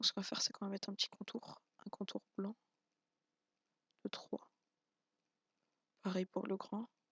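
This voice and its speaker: A man whispering at a moderate pace, with long, frequent pauses, in a dry, close sound with no echo. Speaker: YouTube tutorial maker. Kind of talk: tutorial. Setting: home, at night, not to wake wife. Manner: quiet, subdued voice; hesitant, many fillers.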